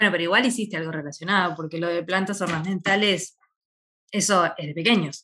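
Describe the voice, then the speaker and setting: A woman speaks with a Rioplatense accent at a fairly quick pace. Her tone is bright and sharp. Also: fairly low pitch for a woman, ordinary pitch variation. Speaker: podcast co-host, veterinarian. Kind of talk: casual interview.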